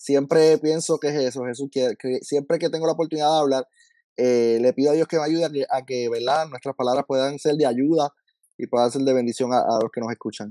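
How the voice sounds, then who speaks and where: Over a quiet background, a man with a fairly high voice and a dark, mellow tone talks at a fairly quick pace, the sound dry with no echo. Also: fairly even intonation. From Puerto Rico. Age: 30s. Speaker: school counselor and lay minister; lay minister. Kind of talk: testimony. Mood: warm, grateful. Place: home room. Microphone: video call.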